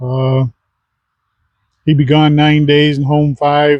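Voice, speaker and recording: A man with a Midwestern US accent speaks very slowly in a fairly high, flat monotone, his tone dark and mellow, the sound dry and close with no echo. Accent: US Midwest. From Michigan. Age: 70s. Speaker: retired army veteran vlogger. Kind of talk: casual monologue. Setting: outdoors.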